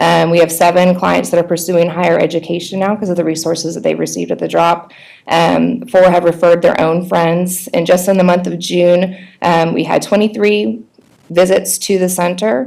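A woman with a fairly low pitch and vocal fry speaks with fairly even intonation. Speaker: nonprofit coordinator presenting to school board. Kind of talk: report presentation. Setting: board meeting. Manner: fast.

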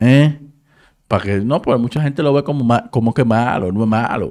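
Against a quiet background, a man with a Dominican accent speaks at medium pitch in a dark, mellow tone. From Dominican Republic, San Cristóbal; Dominican Republic. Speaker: entertainment news YouTuber. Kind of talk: casual commentary. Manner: animated. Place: home room. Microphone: studio mic.

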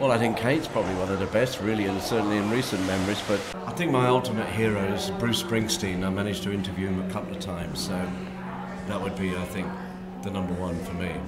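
A man at a very fast pace with ordinary pitch variation, over loud background noise. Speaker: radio presenter. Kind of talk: interview answer. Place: hall.

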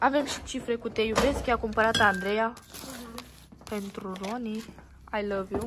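The speech moves at a fairly slow pace with big swings in loudness. Loud background noise fills the recording. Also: woman, fairly high pitch for a woman. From Romania, Strehaia (Oltenia); Romania. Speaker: family vlogger. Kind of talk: casual vlog. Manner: animated. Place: hall. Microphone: phone near.

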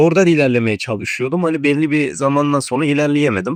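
Against a quiet background, a man with a fairly high pitch talks at a fairly quick pace, the sound dry and close with no echo. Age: young. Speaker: university student and video editor who trades. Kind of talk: casual chat.

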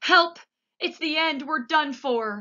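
A put-on character voice shouting at a high pitch. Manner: shouting in panic.

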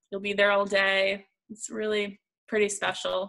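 A woman is talking here. Her accent is American. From Northeast Pennsylvania. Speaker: public relations professional; panelist. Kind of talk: panel discussion. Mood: friendly, upbeat. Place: home room. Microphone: video call.

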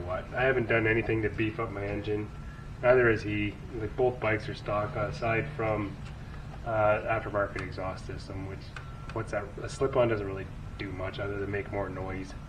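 Noticeable background noise accompanies a man speaking at a moderate pace in a fairly low voice. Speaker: motorcycle vlogger. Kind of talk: casual vlog chat. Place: garage. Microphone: camera far.

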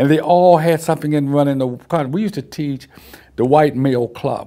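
A man with an American accent talks at a moderate pace in a medium pitch with ordinary pitch variation. His tone is dark and mellow, set against a quiet background. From Virginia, US South (Petersburg); Virginia. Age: 60s. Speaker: war veteran. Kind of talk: oral history interview. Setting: video recorded interview in Petersburg, Virginia. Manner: halting. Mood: reflective, at times smiling.

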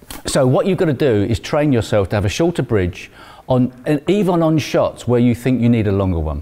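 The man's pace is fairly quick. His voice has a dark, mellow tone. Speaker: guest. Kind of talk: interview answer. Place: hall. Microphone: lapel.

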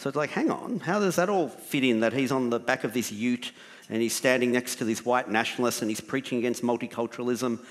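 A man speaks with an Australian accent. The background is quiet. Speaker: writer and documentary maker; panelist. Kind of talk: panel discussion. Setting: stage with audience. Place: stage. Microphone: headset.

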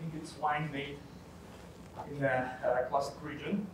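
A man at a moderate pace, with ordinary pitch variation, noticeable background noise and audible room echo. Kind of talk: spoken wine tasting assessment. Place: hall. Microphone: camera far.

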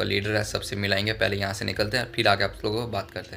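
The voice moves fast, with little pitch movement, vocal fry and a bright, sharp tone. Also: man.

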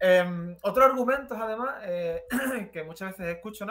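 A man speaks at a fairly quick pace, his intonation lively. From Spain, Jerez (Andalusia); Andalusia, Spain. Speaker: commentator; interview guest. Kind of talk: casual chat. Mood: relaxed, ironic. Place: home room.

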